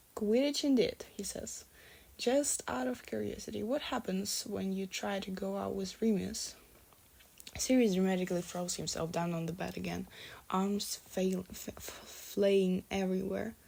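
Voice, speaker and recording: A woman speaks at a moderate pace in a medium pitch, with a dark, mellow tone and lively intonation. She has a non-native accent. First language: not English. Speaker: fanfiction reader. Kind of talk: reading aloud. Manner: halting.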